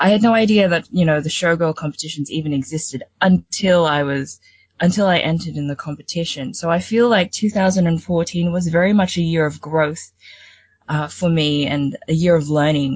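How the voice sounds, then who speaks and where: Somewhat breathy and fairly low in pitch, a woman with an Australian accent speaks at a moderate pace with ordinary pitch variation. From Sydney, Australia (born in the Philippines). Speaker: showgirl competition finalist and youth leader. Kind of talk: interview.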